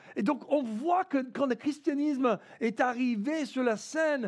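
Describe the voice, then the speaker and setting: The voice belongs to a man. His accent is American. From United States. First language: English (speaking French). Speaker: pastor. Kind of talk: sermon. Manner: halting, many fillers and repetitions.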